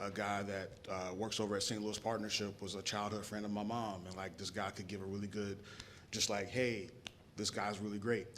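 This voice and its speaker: A man with a fairly low pitch and an American accent, fairly quick, monotone and flat, with audible room echo. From South Carolina, Rock Hill. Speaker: panelist, startup professional. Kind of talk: panel discussion. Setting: stage with live audience. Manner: hesitant, filler-heavy.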